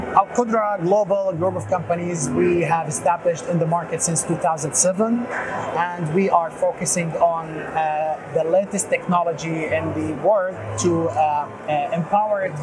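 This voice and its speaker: A man talks at a moderate pace with ordinary pitch variation, and noticeable background noise is present. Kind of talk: interview answer. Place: hall. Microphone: lapel.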